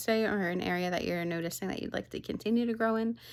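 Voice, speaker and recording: A woman speaks quietly. The recording is very clean with a silent background. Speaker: podcast host. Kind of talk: casual personal vlog talk. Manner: speaking quietly.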